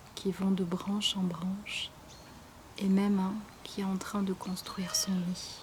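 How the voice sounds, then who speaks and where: A woman with a medium-pitched voice speaks in a calm tone at a fairly slow pace. Her intonation is monotone and flat, with noticeable background noise. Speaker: meditation guide and YouTuber. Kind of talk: guided meditation; casual intro to camera. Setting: outdoors. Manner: soft-spoken, calm.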